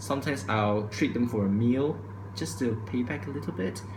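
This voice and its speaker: A man's medium-pitched voice with ordinary pitch variation at a fairly quick pace, amid noticeable background noise and audible room echo. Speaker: vlogger. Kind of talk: opinion vlog monologue. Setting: recorded to camera at home. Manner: fast.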